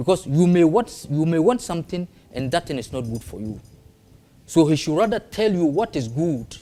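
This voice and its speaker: In a northern Ghanaian accent, a man with a fairly high pitch and a dark, mellow tone talks at a moderate pace with very wide pitch swings. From northern Ghana (Tamale). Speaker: traditional spiritualist. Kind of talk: interview. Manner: halting non-fluent English.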